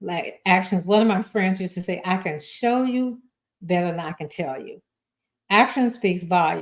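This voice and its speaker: A somewhat breathy woman speaks in a medium pitch at a fairly slow pace. Her tone is animated and her intonation lively. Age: 70s. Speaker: talk show host. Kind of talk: motivational talk.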